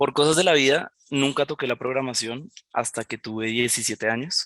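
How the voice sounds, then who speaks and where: A man with a Colombian accent speaks at medium pitch and a moderate pace with ordinary pitch variation, in a dry, close sound with no echo. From Colombia, Villavicencio (Llanos), born in Barranquilla. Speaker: junior software developer. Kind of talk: presentation talk. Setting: online event presentation on camera. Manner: hesitant, with fillers and repetitions.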